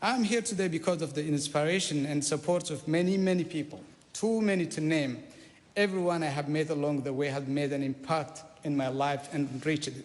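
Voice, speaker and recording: A man with an Eritrean accent, fairly high pitch, ordinary pitch variation and a fairly quick pace. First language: Saho. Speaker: politician. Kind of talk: parliamentary maiden speech. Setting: parliament chamber. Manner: formal.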